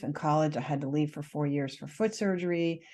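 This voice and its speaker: Against a quiet background, a woman with an American accent talks at a moderate pace in a very deep, low pitch with a dark, mellow tone. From United States. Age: 50s. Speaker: nutritionist and author. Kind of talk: podcast interview.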